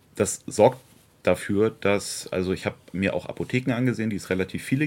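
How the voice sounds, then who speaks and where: Lively intonation runs through a man's fairly low-pitched voice. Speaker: local party politician. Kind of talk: interview. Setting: outdoors in a garden. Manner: animated.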